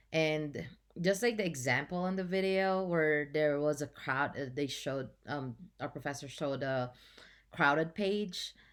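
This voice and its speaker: On a very clean recording with a silent background, a woman with a very deep, low pitch and a non-native accent speaks at a fairly slow pace. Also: ordinary pitch variation. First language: not English. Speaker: journalism student. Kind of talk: class presentation. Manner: halting.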